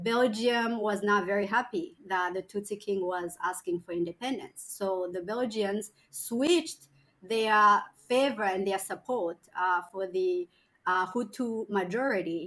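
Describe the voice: A woman talks at a fairly slow pace with a medium pitch. Her tone is fairly bright, and her pitch variation is ordinary.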